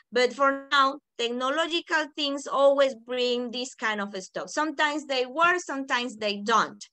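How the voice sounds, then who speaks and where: Projecting a raised voice with a bright, sharp tone, a woman speaks at a high pitch with ordinary pitch variation and hardly any pauses. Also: moderate pace. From Panama. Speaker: teacher trainer. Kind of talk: online workshop. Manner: smooth.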